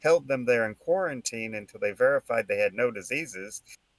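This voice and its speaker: A fairly quick American accent with ordinary pitch variation, the sound dry and close with no echo. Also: man. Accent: regional Texan accent, stronger on this topic. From Texas, El Paso area. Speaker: political commentary podcast host. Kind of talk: casual political discussion. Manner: halting, with fillers and restarts.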